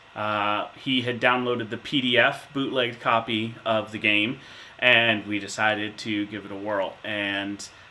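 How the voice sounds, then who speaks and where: A man talks fairly slowly in a fairly low, monotone, flat voice. Noticeable background noise runs behind him. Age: 30s. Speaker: insurance manager, tabletop gamer interviewee. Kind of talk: interview answers. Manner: hesitant with fillers.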